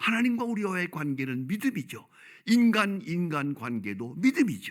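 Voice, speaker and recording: Very wide pitch swings mark a man's speech. He keeps a moderate pace. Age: 80s+. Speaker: pastor. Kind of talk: sermon.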